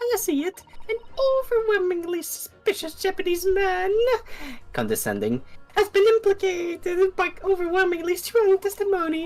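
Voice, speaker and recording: In a put-on character voice, a woman talks at a moderate pace, squeaky and extremely high-pitched, with music playing in the background. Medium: fan dub. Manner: airy, affected, repeats catchphrases.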